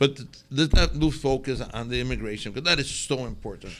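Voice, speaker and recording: A bright, sharp voice with a Spanish accent moves at a fairly quick pace. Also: man. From northern Mexico. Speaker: restaurateur. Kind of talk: interview. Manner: halting, many repetitions.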